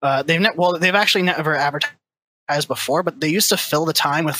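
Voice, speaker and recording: Talking fairly quickly, a man shows ordinary pitch variation. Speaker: caller to esports talk show. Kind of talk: call-in discussion. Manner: quiet.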